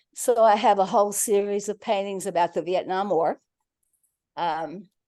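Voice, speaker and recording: In a quiet background, a woman speaks at a medium pitch and a moderate pace with a dark, mellow tone and fairly even intonation. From rural farm upbringing. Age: 70s. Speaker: artist. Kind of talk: casual talk about her artwork.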